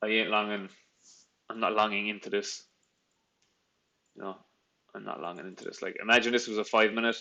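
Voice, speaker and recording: Speaking in a Cork accent, a man uses a fairly low pitch, a bright, sharp tone and monotone, flat intonation, going at a very fast pace with long, frequent pauses and big swings in loudness. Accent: Cork Irish. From Ireland, Cork. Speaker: trader. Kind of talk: live trading stream, casual Q&A with chat. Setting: live stream. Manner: casual, many fillers and restarts.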